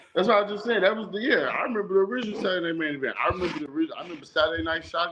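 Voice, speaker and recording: Very fast speech with an American accent over noticeable background noise. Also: man. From Chicago. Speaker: wrestling podcast host. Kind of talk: casual chat.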